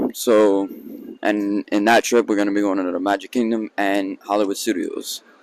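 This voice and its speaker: A man speaks quietly in a fairly low, flat monotone, recorded dry and close with no echo. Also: moderate pace. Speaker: vlogger. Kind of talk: casual vlog talk. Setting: outdoors at theme park.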